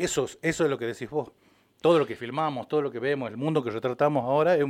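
A man with a plain, everyday voice speaks fairly quickly at a fairly high pitch, with ordinary pitch variation. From Salta, northwestern Argentina. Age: 50s. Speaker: documentary filmmaker, former television worker. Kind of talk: casual radio interview.

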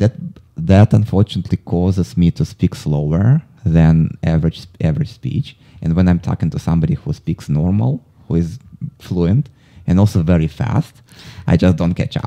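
In a dry, close recording with no echo, a man with a very deep, low voice and a dark, mellow tone speaks at a moderate pace with lively intonation. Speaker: podcast host and actor, client of the guest. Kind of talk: casual interview. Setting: studio.

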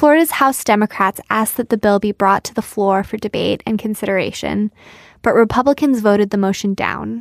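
In a very clean recording with a silent background and a dry, close sound with no echo, a woman with a plain, everyday voice speaks fairly quickly at a medium pitch with ordinary pitch variation. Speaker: news podcast host. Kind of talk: news reading, scripted news briefing. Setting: studio. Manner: brisk, clear, even-toned.

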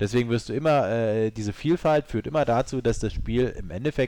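A man talks in a medium pitch with lively intonation. He keeps a moderate pace. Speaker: video game podcast guest. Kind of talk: casual chat. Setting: studio.

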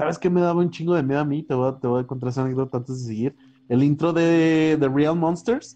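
The dark, mellow tone moves fairly quickly, its pitch varying in an ordinary way. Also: man, fairly high pitch for a man. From Mexico, San Luis Potosí. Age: 20s. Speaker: podcast co-host. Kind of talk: casual chat. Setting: outdoors at home.

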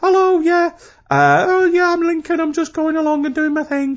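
A squeaky, high-pitched, put-on character voice. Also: moderate pace. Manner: casual, carefree, going along doing his thing.

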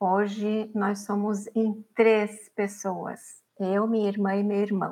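Very slowly, a woman speaks in a dark, mellow, medium-pitched voice with flat, monotone intonation. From Paraná, Brazil (Araucária, near Curitiba). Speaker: feminist activist. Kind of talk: interview. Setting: studio.

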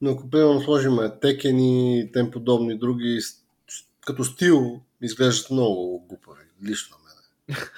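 A man's medium-pitched voice has a dark, mellow tone and fairly even intonation, with big swings in loudness. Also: moderate pace. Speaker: podcast co-host. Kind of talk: casual chat.

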